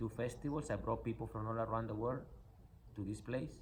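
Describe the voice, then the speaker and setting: With a non-native accent and vocal fry, the voice is heard through audible room echo. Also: man. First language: not English. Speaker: spiritual coach and nonprofit founder. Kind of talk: motivational talk. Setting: in a car. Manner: animated.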